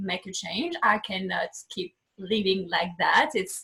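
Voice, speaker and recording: She talks at a moderate pace. The woman has a French accent. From France (southwest). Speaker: life coach. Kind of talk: interview. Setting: video call.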